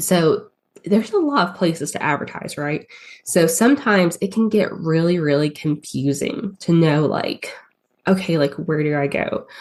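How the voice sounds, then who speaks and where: A woman speaks with a strong Southern accent in a fairly low voice at a moderate pace. Her intonation is lively. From US South. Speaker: paid ads strategist. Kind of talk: podcast interview. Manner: hesitant, many fillers.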